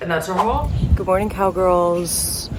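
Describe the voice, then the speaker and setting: A woman speaks at a fairly low pitch, and there is audible echo in the room. Noticeable noise runs behind her. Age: 20s. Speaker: travel vlogger. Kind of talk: casual vlog talk. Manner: animated.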